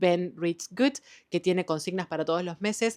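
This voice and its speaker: A woman with an Argentine accent is heard in a dry, close sound with no echo. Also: very clean recording, silent background. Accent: Argentine Spanish (Rioplatense). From Argentina. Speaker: book youtuber. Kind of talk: casual book review vlog. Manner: casual, with fillers and hesitations.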